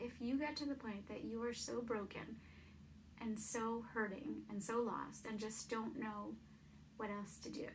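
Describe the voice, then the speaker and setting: Delivered at a fairly slow pace, the speech carries audible room echo over noticeable background noise. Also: woman. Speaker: vlogger. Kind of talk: personal testimony. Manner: stutters; casual, hesitant.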